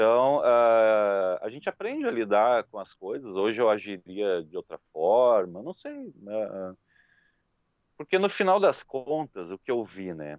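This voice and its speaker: A man speaks at a medium pitch and a very slow pace. His intonation is lively, and his loudness swings widely. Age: 40s. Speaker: motorcycle YouTuber. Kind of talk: casual interview chat.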